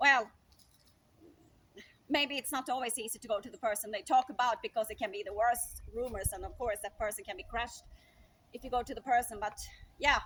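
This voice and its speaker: Lively intonation and a fairly quick pace mark this speech with a Swedish accent, broken by long, frequent pauses. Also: woman, high pitch for a woman. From Sweden. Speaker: speaker sharing opinions. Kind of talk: improvised monologue. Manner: conversational with fillers.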